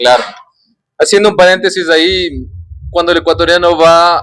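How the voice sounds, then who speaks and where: A man's high-pitched, bright and sharp voice, animated in tone, at a moderate pace. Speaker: podcast host. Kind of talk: casual chat.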